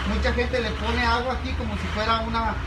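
Noticeable noise fills the background. Over it, a man delivers his words at a moderate pace. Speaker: shop worker demonstrating product. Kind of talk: product demonstration tutorial. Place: shop. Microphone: phone near.

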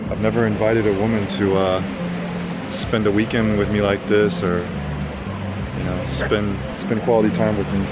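A man's fairly slow speech with ordinary pitch variation, dry with no echo, over loud background noise. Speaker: travel vlogger. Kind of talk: casual vlog chat. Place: beach. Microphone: phone near.

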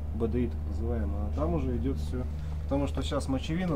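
Very rapid male speech against noticeable background noise. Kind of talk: explaining to the interviewer. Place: open country. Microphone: phone near.

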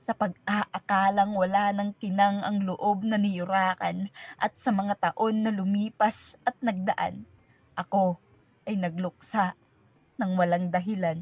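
Very slowly, a woman at medium pitch delivers her words in a solemn, dramatic tone with monotone, flat intonation and a somewhat breathy quality. The sound is dry and close, with no echo. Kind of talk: spoken word poetry. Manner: solemn, reflective; slow, measured, dramatic.

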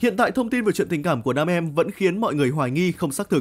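Very fast, lively speech in a very clean recording with a silent background. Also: man. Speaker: news narrator. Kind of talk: news reading.

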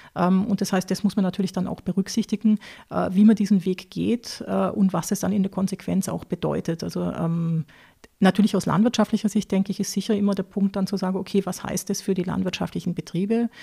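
Someone with a southern German accent talks at a fairly quick pace in a dark, mellow tone with vocal fry and a monotone, flat delivery. The sound is dry and close with no echo, on a very clean recording with a silent background. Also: woman, medium pitch for a woman. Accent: non-Austrian, southern German. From southern Germany, Lake Constance area (Baden-Württemberg). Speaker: agricultural advisor on pig farming. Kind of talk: interview. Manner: hesitant, many fillers.

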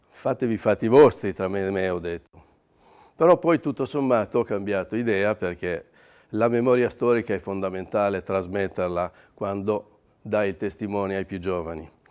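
A man has a normal speaking voice, fairly low in pitch, with ordinary pitch variation. He talks at a moderate pace in a very clean recording with a silent background. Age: 60s. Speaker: paint distributor owner. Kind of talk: testimony.

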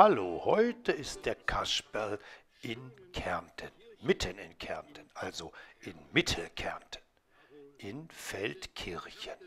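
In a put-on character voice, a man speaks raspy and medium-pitched. His very slow delivery has long, frequent pauses. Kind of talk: children's puppet show address. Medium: puppet.

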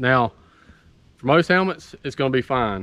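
A man speaks at a moderate pace in a medium-pitched voice with a fairly bright tone.

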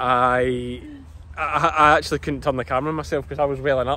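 A man's voice with ordinary pitch variation, a dry sound with no echo and noticeable background noise. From Scotland, Ayrshire; Scotland. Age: 30s. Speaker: sheep farmer and vlogger; vlogger. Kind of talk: casual vlog commentary. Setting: outdoors at agricultural show. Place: open country. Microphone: phone near.

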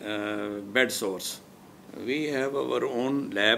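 A man speaks very slowly with fairly even intonation over light background noise. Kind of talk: interview answer. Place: home room. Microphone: lapel.

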